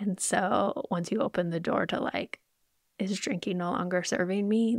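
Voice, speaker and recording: Someone with an American accent talks at a fairly slow pace, with ordinary pitch variation. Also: woman. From US, Idaho. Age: 40s. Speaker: podcast host, nurse and health coach. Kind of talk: personal reflection monologue. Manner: casual, rambling.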